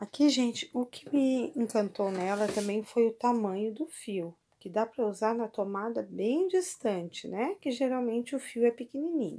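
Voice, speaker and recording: This woman's voice has a dark, mellow tone, and she barely pauses at all. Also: fairly high pitch for a woman, moderate pace. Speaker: product reviewer. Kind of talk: casual product demo. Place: kitchen.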